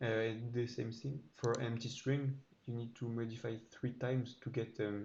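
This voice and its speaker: The tone is dark and mellow, somewhat breathy, at a moderate pace. Intonation stays flat and monotone. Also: man. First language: not English. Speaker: programmer YouTuber. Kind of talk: code walkthrough tutorial. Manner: halting, many fillers.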